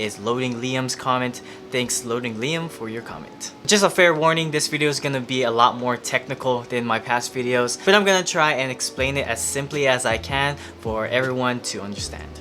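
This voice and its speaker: There is noticeable noise in the background. A man with a medium-pitched voice speaks at a fairly quick pace. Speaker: camera tutorial YouTuber. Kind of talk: tutorial.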